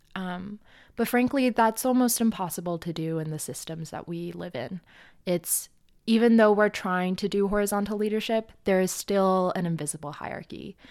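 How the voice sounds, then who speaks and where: In a very clean recording with a silent background, a woman with a Canadian accent and an unremarkable speaking voice talks at a moderate pace and medium pitch, with ordinary pitch variation and big swings in loudness. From Edmonton, Canada. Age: 20s. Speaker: grad student and climate organizer. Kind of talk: casual interview.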